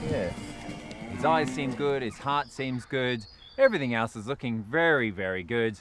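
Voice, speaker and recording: Music plays in the background as a man with an Australian accent talks. His medium pitch moves with ordinary variation at a moderate pace. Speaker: vet. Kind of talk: documentary presenting. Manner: animated.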